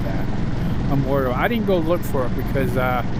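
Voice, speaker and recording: A man speaks at a very fast pace with very wide pitch swings. Noticeable background noise is present. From Massachusetts. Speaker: motorcycle vlogger. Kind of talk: ride commentary. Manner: casual, conversational.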